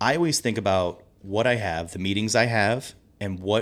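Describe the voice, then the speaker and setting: Here a man uses a normal speaking voice, fairly low in pitch with ordinary pitch variation, at a moderate pace. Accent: American. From US Midwest, St. Louis area. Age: 30s. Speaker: pub owner. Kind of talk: casual interview.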